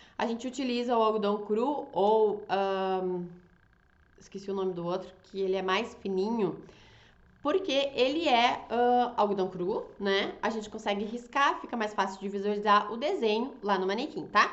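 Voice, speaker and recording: A woman speaks at a fairly slow pace with a fairly high pitch and ordinary pitch variation. Room echo is audible around her voice. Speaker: fashion designer and draping teacher. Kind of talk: online class. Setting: Instagram live. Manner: animated.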